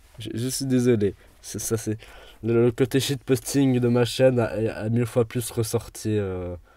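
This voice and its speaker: In a very clean recording with a silent background, a man with a dark, mellow tone and medium pitch talks at a very slow pace with fairly even intonation. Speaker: gaming YouTuber. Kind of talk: let's play commentary.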